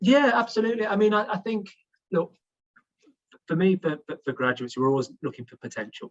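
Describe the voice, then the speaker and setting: With a British accent, a man speaks at a high pitch and a fairly quick pace, with very wide pitch swings, big swings in loudness and long, frequent pauses, in a dry, close sound with no echo. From England. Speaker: HR executive, panelist. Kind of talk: panel discussion. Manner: halting, many repetitions.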